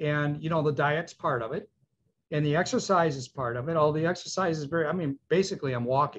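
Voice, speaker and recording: A somewhat breathy man at a very fast pace, ordinary pitch variation, quiet background. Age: 70s. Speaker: dentist, program client. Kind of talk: testimonial interview. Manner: enthusiastic, halting with fillers.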